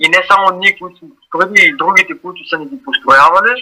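A man's raised, projected voice, high in pitch and bright and sharp in tone, at a moderate pace, with a dry, close sound and no echo. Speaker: graffiti artist. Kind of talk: interview. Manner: halting.

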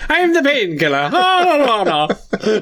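In a put-on character voice with an Irish accent, someone drawls at a fairly slow pace in a high pitch over light background noise. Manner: drawn-out, drawling.

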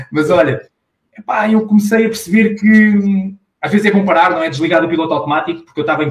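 Ordinary variation marks this man's pitch. He talks at a very fast rate. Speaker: sales professional and business owner. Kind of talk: casual interview. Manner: animated.

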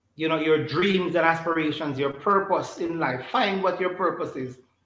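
A man's high-pitched speech carries audible room echo. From Jamaica, St. Catherine. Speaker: church elder, politician and former teacher. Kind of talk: interview. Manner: halting, repetitive.

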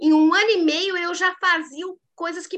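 A woman projects a raised voice with a bright, sharp, animated tone. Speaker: leadership coach and mentor. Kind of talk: casual interview chat.

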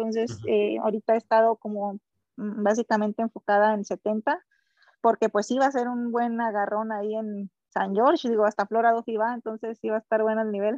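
In a strong Mexican accent, a woman speaks at a fairly high pitch with monotone, flat intonation, in a dry, close sound with no echo and a quiet background. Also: moderate pace. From Mexico, Sinaloa. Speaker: elite triathlete. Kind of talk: casual interview.

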